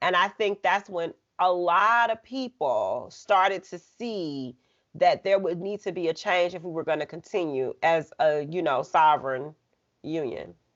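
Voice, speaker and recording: Speaking at a fairly slow pace in an unremarkable speaking voice, a woman with an American accent keeps a fairly low pitch with ordinary pitch variation. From US South, Birmingham, Alabama. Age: 30s. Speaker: media entrepreneur. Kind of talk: casual chat.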